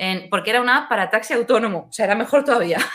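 Delivered at a very fast pace, the voice has a bright, sharp tone and ordinary pitch variation. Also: woman. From Seville, Spain. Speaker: innovation and design strategist. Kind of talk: casual interview chat.

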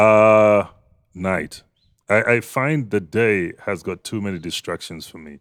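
In a very clean recording with a silent background, a man uses a normal speaking voice, fairly low in pitch with ordinary pitch variation. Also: fairly slow pace. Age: 40s. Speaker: journalist and voice artist. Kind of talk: casual chat.

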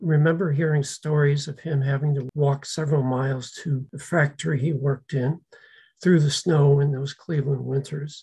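This man's pitch sits fairly high for a man, with a dark, mellow tone and some breathiness. He talks at a moderate pace with fairly even intonation. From US, Slovak-American community. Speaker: descendant sharing family history. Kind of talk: interview.

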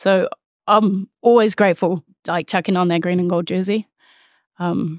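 In a New Zealand accent, a woman of medium pitch talks at a moderate pace in a flat monotone with long, frequent pauses, the sound dry and close with no echo on a very clean recording with a silent background. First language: Māori. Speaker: rugby player. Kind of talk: casual chat.

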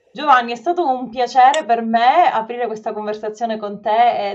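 A woman talks at a moderate pace with ordinary pitch variation. Noticeable background noise runs under her voice. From Sicily. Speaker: podcast host. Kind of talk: casual interview. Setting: video call.

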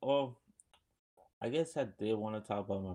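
A man talks at a moderate pace. His pitch is fairly low. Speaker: podcast host. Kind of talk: casual chat. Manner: filler-heavy, stumbling.

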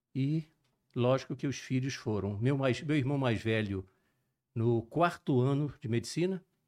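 A man's dark, mellow tone at a medium pitch, with ordinary pitch variation. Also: quiet background. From Brazil, Juiz de Fora (Minas Gerais) and Rio de Janeiro. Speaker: cardiologist and sports medicine physician. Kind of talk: podcast interview.

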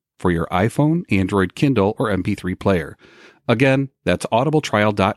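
Lively intonation runs through an unforced reading voice. Nothing else can be heard behind it.

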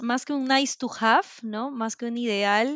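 A woman speaks in a normal speaking voice at a fairly high pitch and a fairly slow pace. The sound is dry and close, with no echo. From Peru. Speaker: corporate culture manager and remote work advocate. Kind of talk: interview.

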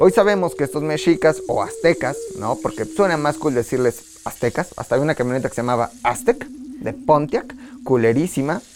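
A man speaks at a moderate pace with a fairly high pitch and very wide pitch swings. He hardly pauses, and there is noticeable background noise. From Tula, Hidalgo, Mexico. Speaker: history podcast host. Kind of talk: casual comedic history storytelling. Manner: animated.

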